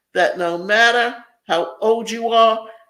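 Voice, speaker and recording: A woman with a fairly high pitch speaks at a very slow pace, with audible room echo. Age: 70s. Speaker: self-help video presenter. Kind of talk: motivational talk.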